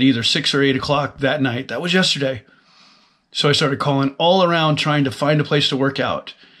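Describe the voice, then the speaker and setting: A man talks at a fairly quick pace with fairly even intonation over a quiet background. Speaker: fitness vlogger. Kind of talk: casual vlog chat. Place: office. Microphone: webcam.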